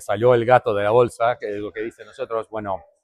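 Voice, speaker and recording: A man speaks at a moderate pace. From Brazil, Curitiba. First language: Portuguese (speaking Spanish). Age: adult. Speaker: MMA event translator and commentator. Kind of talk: interview.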